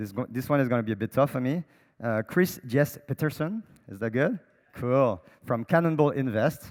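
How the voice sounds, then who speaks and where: Lively intonation and a French accent come through at a moderate pace. The sound is dry and close with no echo, on a very clean recording with a silent background. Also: man, medium pitch for a man. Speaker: panel moderator. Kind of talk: panel moderation. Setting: stage with audience.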